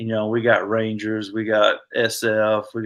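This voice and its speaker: A man speaks in a Southern US accent. His voice sits at a medium pitch. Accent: Southern US (Georgia). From US South, Georgia. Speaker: army veteran, paratrooper. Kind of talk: interview conversation. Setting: podcast.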